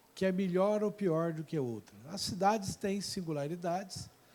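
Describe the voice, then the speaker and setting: A man speaks with a high pitch at a moderate pace. The recording is very clean, with a silent background. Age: 60s. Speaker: mayor and professor giving a talk. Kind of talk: public lecture.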